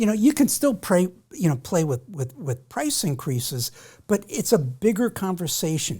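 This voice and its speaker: A woman's medium-pitched, somewhat breathy voice, dark and mellow in tone, with very wide pitch swings at a moderate pace, on a very clean recording with a silent background. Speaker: business coach. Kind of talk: casual chat. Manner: halting.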